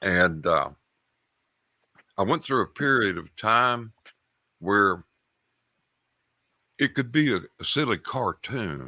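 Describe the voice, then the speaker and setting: Over a dry, close sound with no echo, a man with vocal fry and a bright, sharp tone moves through very wide pitch swings at a very slow pace. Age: 70s. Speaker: caller, Air Force veteran. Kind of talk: call-in storytelling. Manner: halting, repeats words.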